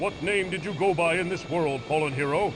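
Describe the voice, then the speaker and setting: A put-on character voice moves at a fairly quick pace. Loud background noise is present. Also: man, high pitch for a man. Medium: video game. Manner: authoritative, stern.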